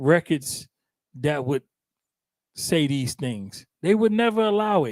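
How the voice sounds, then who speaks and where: A man with a high pitch and an animated tone speaks at a fairly slow pace with lively intonation, on a very clean recording with a silent background and a dry, close sound with no echo. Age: 50s. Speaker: internet radio talk show host. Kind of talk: casual talk radio discussion. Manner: animated storytelling.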